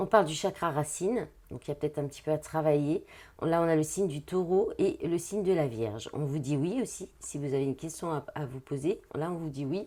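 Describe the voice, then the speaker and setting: A dark, mellow tone comes through at a fairly quick pace, with ordinary pitch movement. The recording is very clean, with a silent background. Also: woman, very deep, low pitch for a woman. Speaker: tarot card reader and spiritual therapist. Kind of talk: tarot reading guidance. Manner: hesitant, many fillers.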